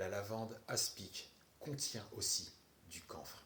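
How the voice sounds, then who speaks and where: A fairly low-pitched man at a very slow pace, with ordinary pitch variation and audible room echo. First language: not French (speaking French). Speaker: herbal remedies content creator. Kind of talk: response video. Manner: sarcastic.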